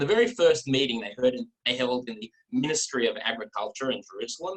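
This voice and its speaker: Speaking very fast with an Australian accent, a man swings widely in loudness, and the sound is dry and close with no echo. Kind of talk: talk to an online audience. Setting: video call.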